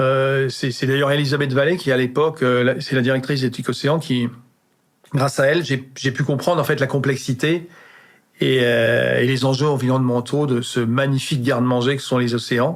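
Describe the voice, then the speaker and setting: At a moderate pace, a man speaks with a medium pitch and monotone, flat intonation. His loudness stays very even throughout. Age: 60s. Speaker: chef. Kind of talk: casual interview chat. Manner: halting, many repetitions and hesitations.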